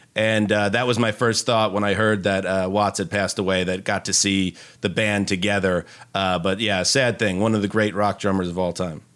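A man speaks at a moderate pace in a fairly low voice, with monotone, flat intonation. The recording is very clean, with a silent background. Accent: American. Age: 40s. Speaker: NFL media writer and podcaster. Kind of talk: casual chat.

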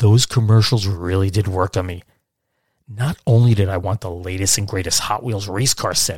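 A somewhat breathy man speaks at a fairly low pitch and a moderate pace. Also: very clean recording, silent background. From Brooklyn, New York, then Catskills upstate New York. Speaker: podcast host. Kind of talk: scripted narration.

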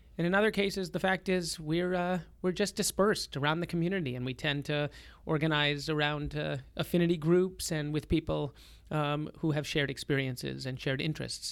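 A man's fairly high, unremarkable speaking voice with an American accent, fairly quick and fairly even in intonation, on a very clean recording with a silent background. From Boston, Massachusetts (North Shore, Lynnfield). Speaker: rabbi and nonprofit executive. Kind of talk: interview.

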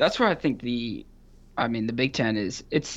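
An American accent colors the speech. It moves at a moderate pace. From Michigan, Grand Rapids. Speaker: sports writer and editor. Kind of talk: casual sports debate.

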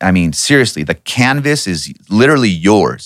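A man at medium pitch with vocal fry and very wide pitch swings, in dry, close sound with no echo, on a very clean recording with a silent background. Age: 40s. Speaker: strength and conditioning coach. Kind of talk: casual interview.

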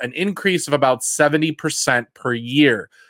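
In a normal speaking voice, a man with a fairly high pitch talks at a moderate pace with ordinary pitch variation, captured in a very clean, dry, close recording with no echo and a silent background. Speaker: podcast host. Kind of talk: casual chat.

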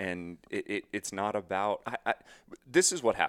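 With an ordinary speaking voice and a fairly low pitch, a man speaks at a fairly slow pace in a dry, close sound with no echo. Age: 30s. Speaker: hunting YouTuber. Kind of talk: casual chat.

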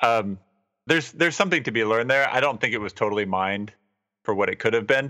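In a very clean recording with a silent background, a man with a medium pitch speaks in a bright, sharp tone with ordinary pitch variation. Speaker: podcast host. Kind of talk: casual chat.

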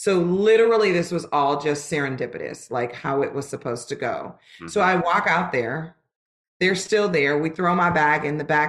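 At a moderate pace, a woman with an American accent speaks in a fairly low pitch. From Los Angeles, California. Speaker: musical theater performer. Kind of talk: interview.

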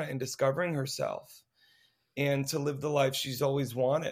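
Here a man has an unremarkable speaking voice, fairly high in pitch, at a moderate pace. The recording is very clean with a silent background. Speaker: co-writer and director of a musical. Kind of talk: casual interview chat.

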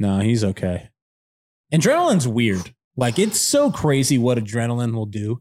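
A man speaks in a normal speaking voice at medium pitch. His pitch varies in an ordinary way. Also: moderate pace, very clean recording, silent background. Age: 30s. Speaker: co-host and event organizer. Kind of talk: casual chat.

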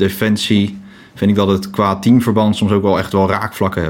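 A man's fairly low-pitched voice. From The Hague (Scheveningen), Netherlands. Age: 20s. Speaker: volunteer lifeboat crew member.

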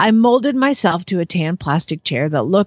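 Lively intonation over a natural reading voice

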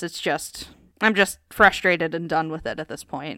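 The recording is very clean, with a silent background and a dry, close sound with no echo. A woman with an American accent speaks at a moderate pace with a bright, sharp tone and fairly low pitch. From US, Pennsylvania. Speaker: hockey writer and podcast co-host. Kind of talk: casual chat.

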